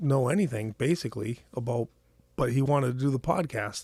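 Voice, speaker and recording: A man with an American accent speaks at medium pitch and a moderate pace, with ordinary pitch variation. His tone is dark and mellow, somewhat breathy. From Maine, US. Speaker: fishing expo organizer. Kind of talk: casual interview chat. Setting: tackle shop office. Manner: halting, self-interrupting.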